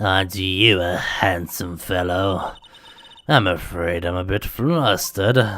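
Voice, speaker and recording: A man speaks in a put-on character voice. His pitch is very deep and low, and his pace is fairly slow. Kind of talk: polite. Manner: flustered, sweet.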